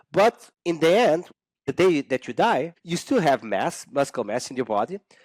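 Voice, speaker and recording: Dry and close with no echo, a man with a Portuguese accent speaks at a moderate pace. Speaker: exercise scientist. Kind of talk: podcast interview. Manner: halting, many fillers and restarts.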